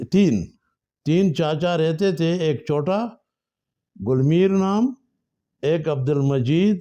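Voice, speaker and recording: Against a quiet background, a man's fairly high voice carries a dark, mellow tone and very even loudness. His pitch varies in an ordinary way, broken by long, frequent pauses. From northwest Pakistan, Swabi. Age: 80s+. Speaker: storyteller. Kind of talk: life story narration. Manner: halting.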